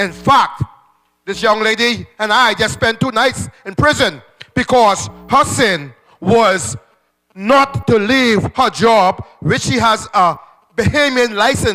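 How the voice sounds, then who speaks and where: Over music in the background, a man talks in a raised, projected voice with a high pitch, ordinary pitch variation and a very slow pace. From Bahamas. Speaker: trade union representative. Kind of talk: town meeting comment. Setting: public meeting. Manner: impassioned.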